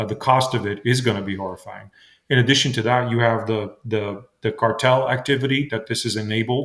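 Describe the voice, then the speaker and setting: The recording is very clean, with a silent background. A man speaks at a moderate pace and medium pitch, with fairly even intonation. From immigrant, came to US at nine. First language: not English. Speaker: state legislator and congressional candidate. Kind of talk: radio interview. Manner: halting, many fillers and repetitions.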